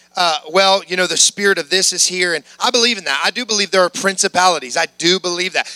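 A man's high, raised, projected voice at a very fast pace with hardly any pauses, dry and close with no echo but with noticeable background noise. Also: ordinary pitch variation. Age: 30s. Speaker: preacher. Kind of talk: sermon.

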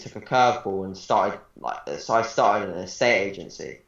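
Audible room echo surrounds a man's voice. He talks at a fairly quick pace with ordinary pitch variation. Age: 20s. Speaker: bodybuilding coach. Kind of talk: casual interview.

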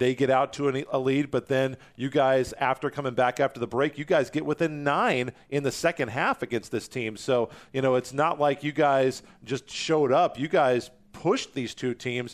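An unremarkable speaking voice at a moderate pace, fairly even intonation, over a quiet background. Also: man, medium pitch for a man. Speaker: college sports broadcaster. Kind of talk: sports interview podcast.

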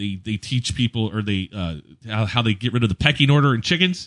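A man with a plain, everyday voice talks at a fairly quick pace in a medium pitch. His intonation is lively, and the background is quiet. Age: 40s. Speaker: podcast co-host and DJ. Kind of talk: casual chat.

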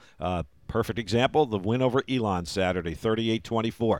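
In a normal speaking voice, a man talks at a moderate pace and medium pitch with lively intonation, the sound dry and close with no echo. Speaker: play-by-play radio broadcaster and podcast host. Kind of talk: casual sports podcast chat.

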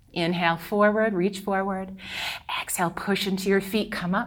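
This woman speaks at a moderate pace and medium pitch, her intonation monotone and flat. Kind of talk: guided yoga class instruction. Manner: calm, rhythmic, cue-by-cue coaching with light playful energy.

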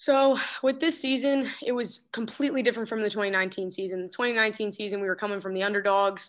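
A plain, everyday voice with ordinary pitch variation and hardly any pauses, over a quiet background. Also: woman, fairly high pitch for a woman, fairly quick pace. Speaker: college soccer player. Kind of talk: interview.

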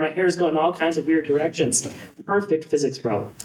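The speech moves at a very fast pace with ordinary pitch variation over noticeable background noise. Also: man. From Buffalo, US. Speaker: physics professor, former diver. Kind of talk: induction speech.

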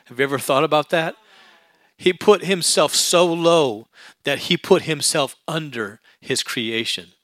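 A man with an ordinary speaking voice talks at a fairly slow pace in a fairly high pitch. His intonation is lively, and the sound is dry and close with no echo. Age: 40s. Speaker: pastor. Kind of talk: sermon.

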